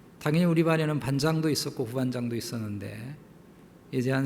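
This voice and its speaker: A somewhat breathy male voice with ordinary pitch variation and audible room echo. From South Korea (Jeolla, Seoul, Incheon). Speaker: pastor. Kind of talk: sermon.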